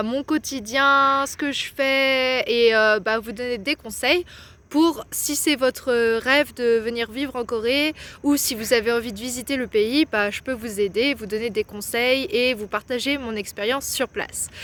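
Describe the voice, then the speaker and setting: A woman talks at a fairly slow pace with a high pitch and ordinary pitch variation. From France, near Lyon. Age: 20s. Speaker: vlogger. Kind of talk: casual talk to camera.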